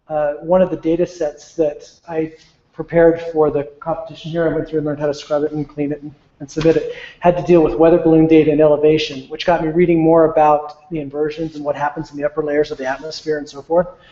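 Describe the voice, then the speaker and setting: Fast as can be, a man with a fairly high pitch talks in a flat monotone while his loudness swings widely. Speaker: IT manager. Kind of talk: informal presentation. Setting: meeting room with audience, streamed online. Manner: halting, many fillers.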